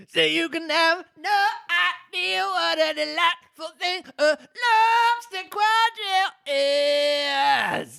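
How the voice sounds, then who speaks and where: Putting on a character voice, a man speaks at an extremely high pitch and a very slow pace. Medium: read story. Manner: sorrowful, sighing.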